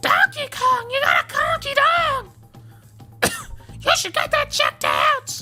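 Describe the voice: A squeaky, put-on character voice at an extremely high pitch, moving at a fairly slow pace. Long pauses come often, with clear music playing in the background.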